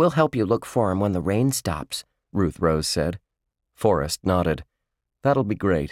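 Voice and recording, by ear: Someone is reading aloud in a natural voice, the intonation lively and the background quiet.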